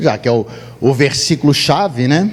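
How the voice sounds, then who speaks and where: A man speaks with very wide swings in pitch. There is noticeable background noise. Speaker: pastor. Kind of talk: sermon. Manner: animated.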